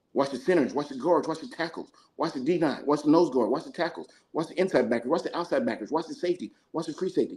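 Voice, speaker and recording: Speaking at a fairly quick pace, a man talks in a high pitch. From New Mexico. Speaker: football coach. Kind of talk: casual chat. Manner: fast.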